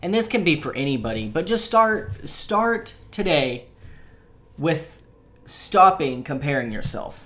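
His pitch fairly high, a man talks at a fairly slow pace in a bright, sharp tone, his pitch swinging very widely. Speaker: podcast host. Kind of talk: casual chat. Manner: filler-heavy, chatty.

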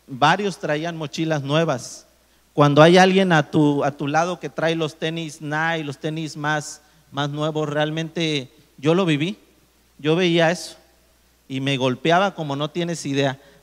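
The pace is very slow. A man talks in a fairly high-pitched voice. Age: 30s. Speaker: engineer and motivational speaker. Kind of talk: testimony.

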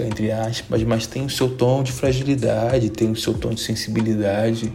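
A man at medium pitch speaks with monotone, flat intonation, with noticeable background noise and audible room echo. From Brazil. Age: 20s. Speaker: podcast host. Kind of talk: casual monologue.

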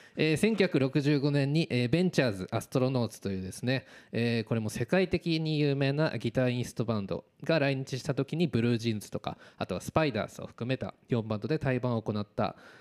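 A man talks at a fairly quick pace with hardly any pauses. His pitch sits in the medium range. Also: lively intonation. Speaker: amateur gossip radio DJ. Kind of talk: casual radio talk show. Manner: stumbling over words.

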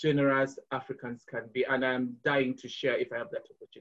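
Somewhat breathy, this man's voice sits at a fairly high pitch. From Uganda, Kampala. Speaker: charity fundraising executive. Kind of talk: casual interview. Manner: halting with frequent repetitions.

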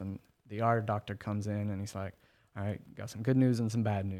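A man with an American accent speaks in a fairly low, dark, mellow voice with a monotone, flat delivery, on a very clean recording with a silent background. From Oklahoma City, South side. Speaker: product analyst. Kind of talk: casual interview chat.

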